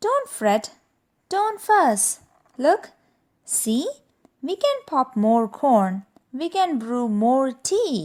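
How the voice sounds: Using a squeaky, put-on character voice, a female-sounding speaker talks at a high pitch and a very slow pace, with very wide pitch swings and long, frequent pauses.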